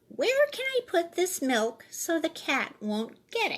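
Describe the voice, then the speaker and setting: A woman uses a squeaky put-on character voice at an extremely high pitch. Her pitch swings very widely at a fairly slow pace. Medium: read story.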